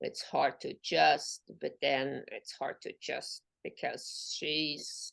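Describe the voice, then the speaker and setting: In a dry, close sound with no echo, a woman talks at a very slow pace with hardly any pauses. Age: 60s. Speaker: coaching program graduate. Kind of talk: interview. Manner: halting.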